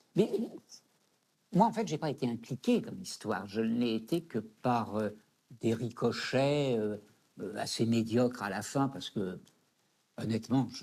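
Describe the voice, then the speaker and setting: A man with a medium pitch and a dark, mellow tone talks at a fairly slow pace with ordinary pitch variation. He leaves long, frequent pauses. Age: 70s. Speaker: psychosociologist. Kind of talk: interview testimony.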